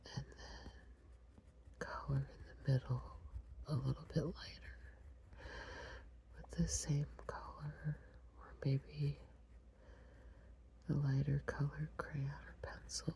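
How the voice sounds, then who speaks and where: A woman whispers in an American accent at a very slow pace, with long, frequent pauses. Her loudness swings widely. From Long Island, New York. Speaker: ASMR creator. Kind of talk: ASMR coloring video. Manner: whispered.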